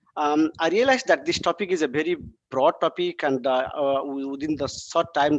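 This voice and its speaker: A man speaks at a fairly high pitch. The sound is dry and close, with no echo. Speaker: invited speaker, process integration engineer. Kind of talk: lecture. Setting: video call. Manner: fast; hesitant, many fillers.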